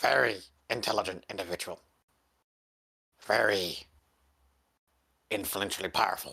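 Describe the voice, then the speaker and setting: This put-on character voice is raspy and low-pitched. It moves at a moderate pace with long, frequent pauses. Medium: actual play. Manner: formal, stilted, measured.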